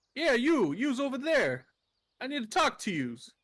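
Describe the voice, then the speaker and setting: A gruff, high-pitched put-on character voice moves at a moderate pace in a very clean recording with a silent background. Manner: gruff, calling out.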